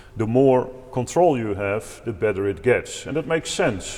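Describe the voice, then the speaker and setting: Speaking in a Dutch accent, a man keeps a moderate pace and ordinary pitch variation. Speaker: organist and improvisation teacher. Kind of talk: tutorial. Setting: at a pipe organ.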